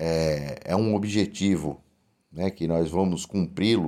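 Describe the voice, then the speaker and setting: A man with a dark, mellow tone speaks at a very slow pace with ordinary pitch variation, on a very clean recording with a silent background. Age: 40s. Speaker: union activist and vice-mayor candidate. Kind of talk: interview. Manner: halting, many fillers and repetitions.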